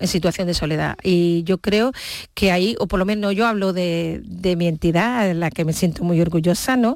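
An unremarkable speaking voice with ordinary pitch variation and very even loudness, on a very clean recording with a silent background. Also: woman. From Seville, Andalusia, Spain. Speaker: charity regional president, nurse. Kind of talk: radio interview.

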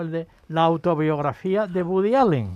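A man at a moderate pace. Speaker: university professor. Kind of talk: casual chat.

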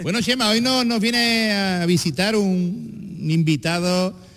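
This man speaks with an Andalusian accent and lively intonation. His pace is fairly slow. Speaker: radio comedy show host. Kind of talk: comedy radio show with live audience. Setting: stage with live audience. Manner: animated.

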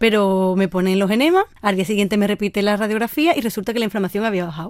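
A woman talks very fast at a medium pitch with ordinary pitch variation, on a very clean recording with a silent background. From Andalusia, Sanlúcar de Barrameda (Cádiz). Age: 20s. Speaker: university student with rare diseases. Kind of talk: personal testimony interview.

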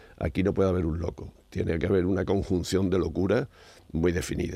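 Very deep and low, a man's voice carries a dark, mellow tone and ordinary pitch variation at a fairly quick pace. The recording is very clean, with a silent background. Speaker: science commentator, professor. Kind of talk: casual radio chat.

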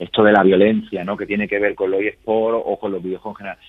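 Talking at a very fast pace, a man keeps a fairly low pitch. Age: 30s. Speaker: university professor. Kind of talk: interview.

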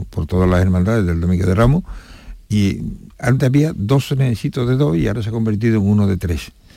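With a dark, mellow tone and a fairly low pitch, the man speaks with lively intonation. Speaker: brotherhood council president. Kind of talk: radio interview. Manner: halting.

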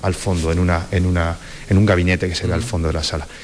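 Over noticeable background noise, a man talks in an Andalusian accent. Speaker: cultural director. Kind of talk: interview.

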